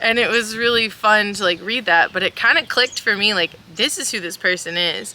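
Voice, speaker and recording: Over noticeable background noise, a woman with a fairly high voice talks at a fairly quick pace, her pitch varying in an ordinary way. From South Central Kentucky. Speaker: podcast voice actor. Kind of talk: casual interview.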